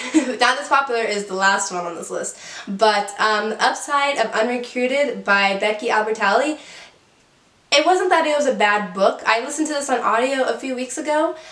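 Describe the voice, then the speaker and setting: An upbeat woman's voice, high-pitched and lively in intonation, at a moderate pace amid noticeable background noise. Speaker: book reviewer. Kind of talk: casual talk to camera. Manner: chatty, upbeat.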